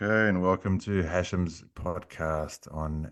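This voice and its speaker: Over a very clean recording with a silent background, a man talks at a fairly slow pace in a very deep, low pitch. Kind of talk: podcast host talk.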